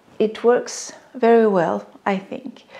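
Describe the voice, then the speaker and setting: In a French accent, a woman speaks with a fairly high pitch, a dark, mellow tone and fairly even intonation. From France. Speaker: sewing pattern designer. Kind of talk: casual talk to camera.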